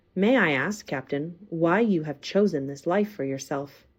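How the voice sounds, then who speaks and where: Using a put-on character voice with lively intonation, a woman speaks at a moderate pace and fairly low pitch on a very clean recording with a silent background. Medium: read story. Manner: polite, inquisitive.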